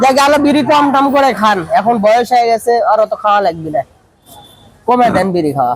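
A man speaks with an extremely high pitch and lively intonation at very even loudness. Noticeable background noise is present. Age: young. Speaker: vlogger. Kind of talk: street interview vlog.

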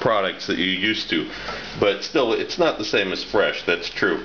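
A man at a moderate pace, light background noise behind him. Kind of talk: tutorial. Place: kitchen.

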